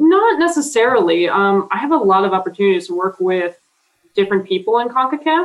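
With an American accent, a woman talks at a fairly quick pace, her pitch swinging very widely. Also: medium pitch for a woman. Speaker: football referee. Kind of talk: interview. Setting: video call.

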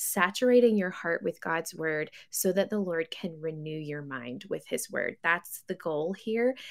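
With an American accent, a woman talks in a plain, everyday voice, fairly low in pitch and with lively intonation, on a very clean recording with a silent background. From US South, West Tennessee. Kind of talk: radio interview.

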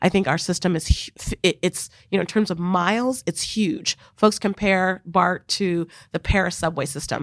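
The woman has an unremarkable speaking voice at a medium pitch, with ordinary pitch variation and a moderate pace. The sound is dry and close, with no echo. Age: 40s. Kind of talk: interview. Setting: studio.

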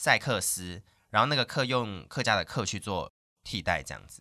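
Bright and sharp in tone, a man speaks at a moderate pace in a very clean recording, dry and close with no echo and a silent background. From Taiwan, Hakka area of Meinong, Kaohsiung. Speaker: radio host. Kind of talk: casual interview chat.

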